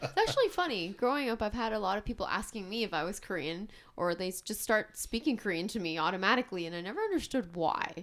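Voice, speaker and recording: A woman's medium-pitched voice, very fast, with lively intonation. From Canada. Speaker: podcast co-host. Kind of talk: casual chat.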